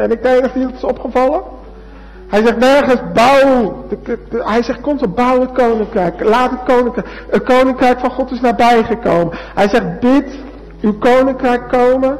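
There is noticeable background noise as a man talks at a moderate pace in an extremely high pitch, his intonation fairly even. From Netherlands. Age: 20s. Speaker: preacher. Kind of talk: sermon.

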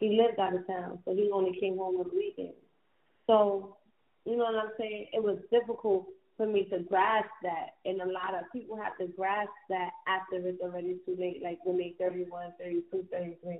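A woman's medium-pitched voice at a moderate pace, with little pitch movement

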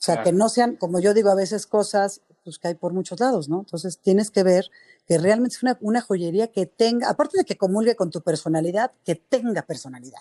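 In dry, close sound with no echo, a woman with a plain, everyday voice talks at a fairly quick pace with lively intonation. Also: medium pitch for a woman. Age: 40s. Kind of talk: interview.

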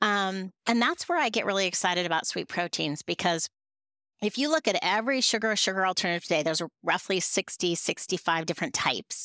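In a Western US accent, a woman with a medium-pitched, bright, sharp voice talks at a fairly quick pace with lively intonation, in a dry, close, echo-free sound on a very clean recording with a silent background. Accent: American (Western US). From Montana, US. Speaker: food tech CEO. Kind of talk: interview. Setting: podcast recording.

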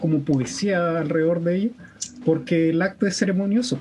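At a moderate pace, a man with a Chilean accent speaks in a high pitch. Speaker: podcast host. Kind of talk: casual chat.

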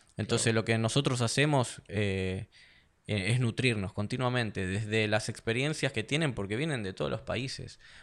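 Speaking in a plain, everyday voice, a man keeps a medium pitch, a moderate pace and ordinary pitch variation on a very clean recording with a silent background. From Argentina. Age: 30s. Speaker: mixed martial arts fighter. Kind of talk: casual interview chat.

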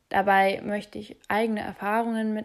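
On a very clean recording with a silent background, a woman talks at a very slow pace in a monotone, flat intonation. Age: 20s. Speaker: podcast host. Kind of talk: podcast monologue.

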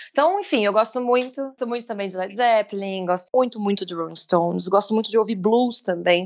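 A woman talks at a fairly quick pace, her pitch medium with ordinary variation. She hardly pauses at all. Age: 30s. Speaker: musical theatre actress. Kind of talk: casual chat. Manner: animated.

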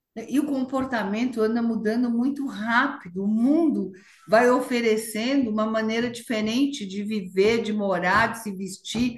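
A woman's fairly high voice moves at a fairly slow pace with fairly even intonation and hardly any pauses, with room echo audible. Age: 70s. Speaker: fashion and retail entrepreneur. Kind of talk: interview. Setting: video call.

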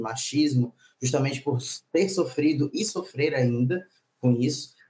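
A man's voice has a dark, mellow tone. It sounds somewhat breathy. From Maranhão, northeast Brazil. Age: 30s. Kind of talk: casual chat.

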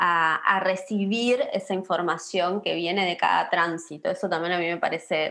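At a moderate pace, a woman with an Argentine accent speaks against a quiet background. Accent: Argentine Spanish (rioplatense voseo). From Patagonia, Argentina (Río Negro). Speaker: pharmacist and herbal medicine practitioner. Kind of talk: casual interview chat.

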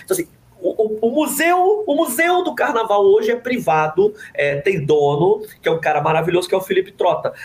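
The man's intonation is lively as he speaks fairly fast. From Rio de Janeiro, Zona Oeste (Jacarepaguá). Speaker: journalist and writer. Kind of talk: casual interview.

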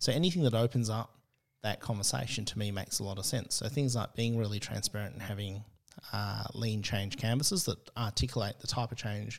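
This man's voice is somewhat breathy. The recording is very clean, with a silent background. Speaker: agile consultant. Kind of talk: casual interview chat.

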